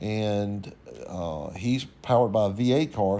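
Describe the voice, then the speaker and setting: This is a man speaking. He has a Louisiana accent. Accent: US Southern (Louisiana). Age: 60s. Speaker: YouTube host, race car builder. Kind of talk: narrated photo commentary. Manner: casual, conversational.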